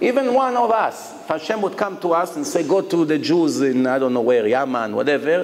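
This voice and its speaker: With audible room echo and noticeable background noise, a man speaks at a fairly high pitch with lively intonation. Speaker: rabbi. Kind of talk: lecture. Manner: animated.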